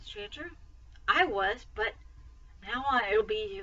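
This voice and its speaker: A woman's put-on character voice, high-pitched and shaky, with very wide pitch swings and a fairly slow pace. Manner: nervous.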